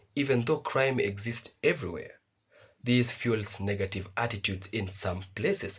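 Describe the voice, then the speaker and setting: A man speaks with ordinary pitch variation and a somewhat breathy voice. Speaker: reaction video host. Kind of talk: video commentary. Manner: reading from notes.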